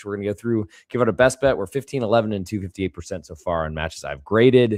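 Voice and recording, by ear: A put-on character voice from a man, hoarse and raspy, fairly low in pitch and at a very fast pace.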